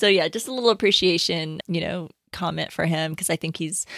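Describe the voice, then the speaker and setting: A woman speaks in a normal speaking voice at a medium pitch, with ordinary pitch variation. The sound is dry and close with no echo, and the recording is very clean against a silent background. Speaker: podcast co-host. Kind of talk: casual chat.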